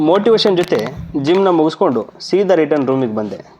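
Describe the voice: Talking at a fairly quick pace, a man with a fairly high pitch and a slightly mellow tone makes big pitch swings.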